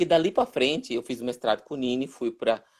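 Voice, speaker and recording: A man at a moderate pace. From Brazil, Northeast (Pernambuco, Olinda/Recife). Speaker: puppet theatre director and teacher. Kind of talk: live-stream interview. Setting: online live stream. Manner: halting, many repetitions.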